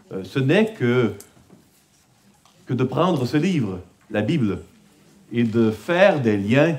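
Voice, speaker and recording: At a very slow pace, a man with a Quebec accent and a medium pitch speaks with very wide pitch swings and a somewhat breathy sound. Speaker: conference speaker on biblical counseling. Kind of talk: conference talk. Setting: conference with audience. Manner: hesitant, many filler sounds.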